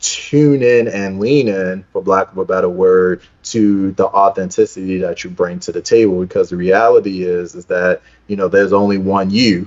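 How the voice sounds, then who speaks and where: Moderate pace and fairly even intonation from a man with a Baltimore accent and a fairly low pitch. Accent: East Baltimore. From East Baltimore, Maryland (US). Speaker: speaker coach, founder of speakers network. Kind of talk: interview.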